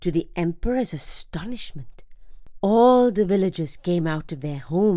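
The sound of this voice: The unforced reading voice carries a lively intonation.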